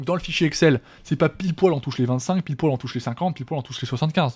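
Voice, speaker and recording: A man talks at a very fast pace with a fairly high pitch. His voice is somewhat breathy, with ordinary pitch variation. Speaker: trading teacher. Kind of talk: lecture. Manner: halting.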